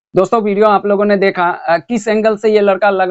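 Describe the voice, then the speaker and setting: Music plays in the background of a dry, close sound with no echo. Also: man. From Kolkata, India (Bihari family). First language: Bhojpuri (speaking Hindi). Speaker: reaction video commentator. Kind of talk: reaction commentary.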